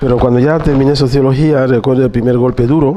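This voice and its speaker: Speech at a fairly quick speed, noticeable background noise underneath. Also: man. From Equatorial Guinea. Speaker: interviewee. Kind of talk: testimony.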